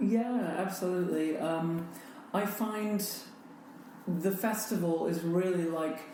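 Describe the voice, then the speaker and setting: Speaking with an American accent at a very slow pace, a woman of medium pitch uses fairly even intonation and long, frequent pauses, with noticeable background noise and audible room echo. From United States. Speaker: festival director. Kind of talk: interview. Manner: hesitant fillers.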